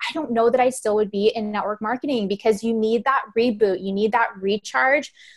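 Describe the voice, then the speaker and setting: Over noticeable background noise, a woman speaks at a fairly quick pace. Her fairly high voice carries an enthusiastic tone. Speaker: network marketing leader. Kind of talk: online business training call. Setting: group conference call. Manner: fast.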